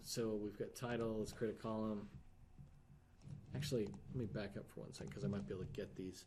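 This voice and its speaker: In a room with audible echo, a man talks at a fairly low pitch with ordinary pitch variation. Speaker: software app reviewer. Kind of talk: screen-share software review. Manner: fast; halting, thinking aloud.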